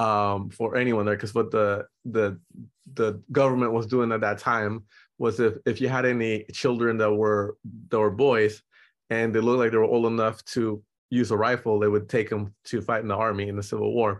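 A man speaks with a Spanish accent in a monotone, flat intonation against a quiet background. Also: medium pitch for a man, moderate pace. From Nicaragua, raised in San Francisco Bay Area. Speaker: portrait photographer. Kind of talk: casual interview.

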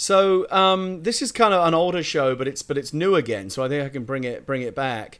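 A fairly high male voice with a British accent, very wide pitch swings, a fairly quick pace and hardly any pauses, on a very clean recording with a silent background. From Britain. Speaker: screenwriter. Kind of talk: casual chat.

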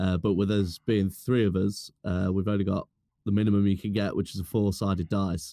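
A man with a British accent speaks at a fairly quick pace, his pitch fairly low and his tone dark and mellow. His intonation is monotone and flat, his loudness very even, and the sound dry and close with no echo. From UK. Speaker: fellow podcaster. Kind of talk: casual chat.

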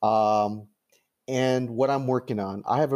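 The recording is very clean, with a silent background. A man with a Californian accent speaks in a dark, mellow tone. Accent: Californian American English. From Los Angeles, US. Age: 60s. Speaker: playwright and government lawyer. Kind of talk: interview.

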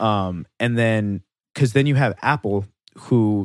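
Recorded very cleanly with a silent background and a dry, close sound with no echo, a man speaks fairly slowly in an ordinary speaking voice, fairly low in pitch with ordinary pitch variation. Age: 20s. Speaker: podcast co-host. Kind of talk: casual chat.

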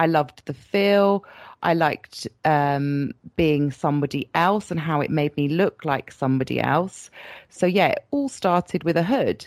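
Speaking at a fairly slow pace with a British accent, a woman uses a fairly low pitch and ordinary pitch variation on a very clean recording with a silent background and a dry, close sound with no echo. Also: very even loudness. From Britain. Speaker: latex model. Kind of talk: interview.

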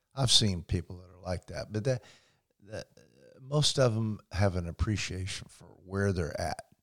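On a very clean recording with a silent background, a man in a normal speaking voice talks at a fairly low pitch with ordinary pitch variation and big swings in loudness. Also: moderate pace. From Indiana. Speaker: fly-fishing instructor. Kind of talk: casual interview. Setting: living room.

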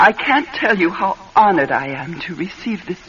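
A woman's put-on character voice, fairly low and husky with a rough edge, fairly bright in tone, at a moderate pace with big pitch swings

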